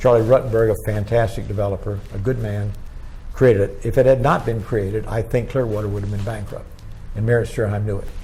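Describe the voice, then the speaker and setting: A man with an American accent talks at a very fast pace in a fairly low, monotone, flat voice. Music plays in the background, and there is audible room echo. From Florida. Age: 90s. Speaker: retired politician. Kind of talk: oral history interview. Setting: museum.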